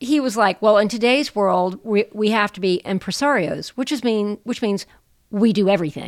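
A woman with an American accent and an unremarkable speaking voice, fairly high in pitch, with ordinary pitch variation and a moderate pace, on a very clean recording with a silent background. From US South. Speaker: performing artist and storyteller. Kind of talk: interview.

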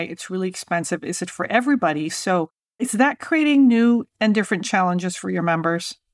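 Recorded very cleanly against a silent background, a woman with an unremarkable speaking voice talks at a medium pitch with lively intonation. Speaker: podcast host. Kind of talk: interview conversation.

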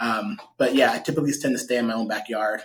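Pitched at a medium level, a man talks with a Californian accent. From US West Coast, Stockton, California. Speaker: real estate agent and investor. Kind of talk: interview.

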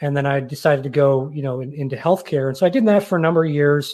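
A man's fairly high, normal speaking voice with an American accent and ordinary pitch variation, against a quiet background. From northern US. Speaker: podcast and TV host, cybersecurity professional. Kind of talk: casual interview chat.

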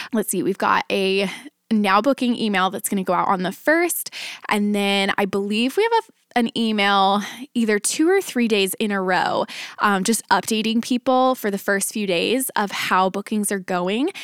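An ordinary speaking voice from a woman with an American accent, medium in pitch and moderate in pace, on a very clean recording with a silent background. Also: ordinary pitch variation, big swings in loudness, dry, close sound with no echo. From Dallas, Texas. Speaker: family photographer and podcast host. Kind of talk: solo podcast tutorial. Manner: upbeat, conversational.

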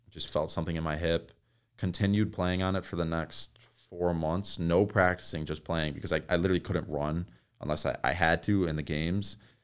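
In an American accent, a man talks at a fairly quick pace with a very deep, low pitch. His intonation is fairly even, and the recording is very clean with a silent background. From New York. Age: 20s. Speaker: athlete and social media creator. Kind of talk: casual chat.

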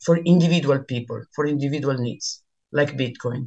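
With an Italian accent, a woman speaks in a very deep, low pitch with ordinary pitch variation. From Milan, Italy. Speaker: bitcoin meetup organizer. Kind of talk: interview chat. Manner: halting, hesitant.

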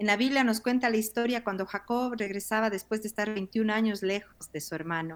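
Speaking in a normal speaking voice, a woman uses a fairly high pitch with ordinary pitch variation. She goes at a fairly quick pace with hardly any pauses. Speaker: pastor. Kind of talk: interview.

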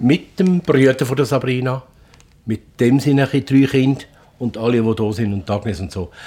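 A man with a dark, mellow tone speaks in a somewhat breathy voice, his pitch varying in an ordinary way. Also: medium pitch for a man, moderate pace. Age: 60s. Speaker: family innkeeper. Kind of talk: casual chat.

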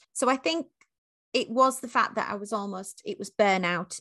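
A woman's bright, sharp tone at medium pitch, in a dry, close sound with no echo. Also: quiet background. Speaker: leadership and diversity coach. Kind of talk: interview. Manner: animated, passionate.

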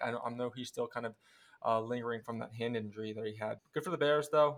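At a very fast pace, a man with an American accent speaks with a medium pitch and fairly even intonation. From Philadelphia, US East Coast. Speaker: sports podcast host. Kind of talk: casual sports talk.

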